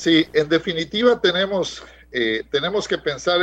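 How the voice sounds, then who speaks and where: A man talks in a high pitch at a fairly slow pace. The background is quiet. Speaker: economist. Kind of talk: radio interview.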